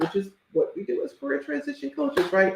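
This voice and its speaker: An animated voice speaks with an American accent. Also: woman. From US South. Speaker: career coach. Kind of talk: live stream talk.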